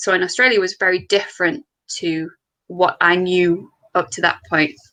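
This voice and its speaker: A woman's bright, sharp voice in a Yorkshire accent, moderate in pace, with ordinary pitch variation. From Yorkshire, northern England. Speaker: distillery co-founder. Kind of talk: interview. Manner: many filler words.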